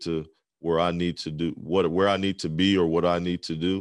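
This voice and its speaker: Against a quiet background, a man with an American accent speaks in a very deep, low pitch. His delivery is monotone, with flat intonation. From southern Pennsylvania. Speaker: DJ and podcast host. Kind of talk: casual interview. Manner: mellow, many 'um' fillers.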